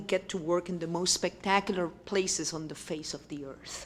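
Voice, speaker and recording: A woman with a Puerto Rican accent speaks at a moderate pace. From Puerto Rico. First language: Spanish. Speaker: university president. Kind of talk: keynote speech.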